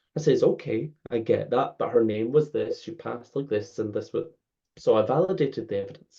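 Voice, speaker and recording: A man with a Scottish accent speaks at a moderate pace. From Scotland. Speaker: spiritual medium. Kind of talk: interview answer, storytelling.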